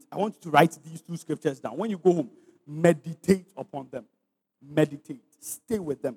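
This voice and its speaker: A man speaks at a moderate pace with a fairly high pitch and an animated tone, his loudness swinging widely, in a dry, close sound with no echo. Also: ordinary pitch variation. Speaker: preacher. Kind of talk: sermon; call-and-response preaching with congregation. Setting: church; stage with audience. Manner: rhetorical, exhorting.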